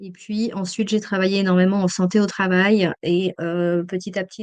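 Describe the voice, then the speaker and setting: A woman talks at a very slow pace in a monotone, flat intonation. The background is quiet. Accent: slight Swiss French. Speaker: emergency psychologist and trainer. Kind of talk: webinar lecture. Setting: online webinar. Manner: hesitant, many fillers.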